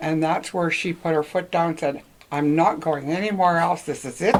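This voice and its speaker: There is noticeable background noise. A woman speaks over it at a fairly low pitch with fairly even intonation. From Northwestern Ontario, Canada. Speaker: local senior interviewee. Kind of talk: oral history interview. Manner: halting.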